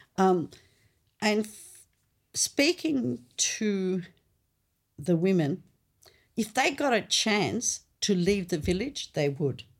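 A woman in an Australian accent speaks at a medium pitch and a very slow pace, with long, frequent pauses. Her pitch swings very widely and her loudness shifts a lot. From North Macedonia, moved to Australia at eight. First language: Macedonian. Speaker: anthropologist. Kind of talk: interview conversation.

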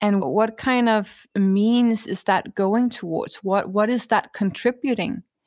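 Speaking at a very slow pace in a Danish accent, a woman with a fairly high pitch and ordinary pitch variation comes through on a very clean recording with a silent background. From Denmark. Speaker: author and sustainability leader. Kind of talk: interview.

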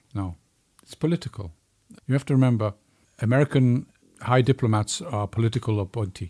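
A man with a dark, mellow, somewhat breathy tone speaks at a fairly quick pace and medium pitch, using ordinary pitch variation and long, frequent pauses. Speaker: co-host, retired spy master. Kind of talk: casual conversational commentary.

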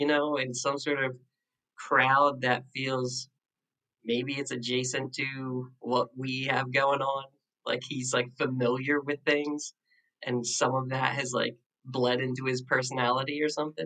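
A man with an American accent, medium pitch and fairly even intonation, at a fairly slow pace with long, frequent pauses. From South Jersey, Philadelphia suburbs. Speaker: songwriter and publicist. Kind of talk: casual chat.

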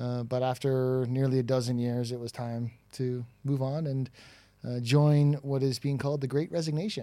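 With fairly even intonation, a man speaks at a moderate pace in a dark, mellow tone. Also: medium pitch for a man. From Toronto, Canada. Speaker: recruitment tech founder. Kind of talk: casual interview chat. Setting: in person, live event.

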